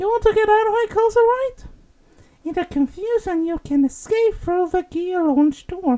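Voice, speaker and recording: The voice is a squeaky, put-on character voice. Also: female-sounding voice, extremely high pitch for a woman, moderate pace. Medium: game stream.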